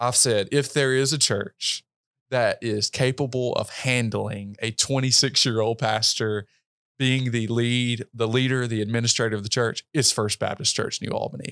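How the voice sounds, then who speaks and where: With a Mississippi accent, a man speaks at medium pitch and a moderate pace with fairly even intonation, in a dry, close sound with no echo on a very clean recording with a silent background. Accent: US Southern, Mississippi. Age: 20s. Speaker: pastor. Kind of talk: interview conversation. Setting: hotel room.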